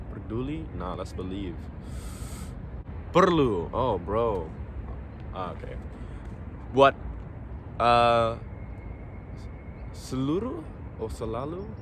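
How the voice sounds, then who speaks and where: Speaking at a very slow pace, a man talks in an English accent. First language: English (speaking Indonesian). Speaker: vlogger. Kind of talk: casual vlog. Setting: outdoors in public. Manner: halting.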